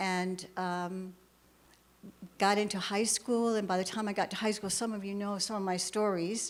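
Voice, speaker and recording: Intonation is monotone and flat from this woman. Her pitch is medium and her pace moderate. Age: 70s. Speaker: church speaker sharing her life story. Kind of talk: testimony.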